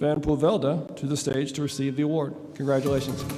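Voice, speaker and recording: A fairly quick, fairly high-pitched man's voice with an American accent, amid noticeable background noise and audible room echo. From United States. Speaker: defense industry representative. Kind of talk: award ceremony speech. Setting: stage at gala with audience.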